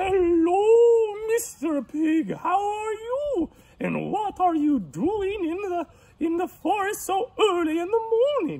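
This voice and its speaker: A put-on character voice, extremely high in pitch, at a fairly slow pace. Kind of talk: bedtime story. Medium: read story.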